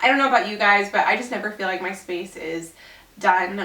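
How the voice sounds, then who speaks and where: Fairly quick speech with ordinary pitch variation, noticeable background noise and audible room echo. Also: woman. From Southern California, family from Little Rock, Arkansas. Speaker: YouTuber and Etsy seller. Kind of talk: casual Q&A vlog.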